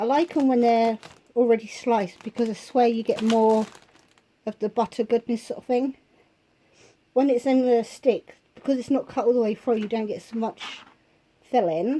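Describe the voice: A woman's fairly high voice with a dark, mellow tone and fairly even intonation. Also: moderate pace.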